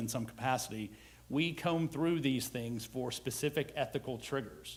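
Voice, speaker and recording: A man with an American accent, medium pitch, lively intonation, and a moderate pace. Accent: Southern US, held back. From US South. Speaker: HR executive. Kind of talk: conference presentation.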